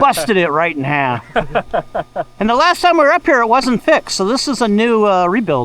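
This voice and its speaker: The man's pitch is high, with very wide pitch swings. He speaks at a fairly quick pace. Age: 60s. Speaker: motorcycle trail riding vlogger. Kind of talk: casual chat while riding. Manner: animated.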